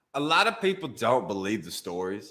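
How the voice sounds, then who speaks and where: A man with a strong Alabama accent and a medium pitch talks at a fairly quick pace, his tone bright and sharp and his intonation lively. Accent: thick Alabama Southern. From Alabama (Brookwood, near Tuscaloosa). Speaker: comedian. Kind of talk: casual interview chat. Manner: animated, many fillers.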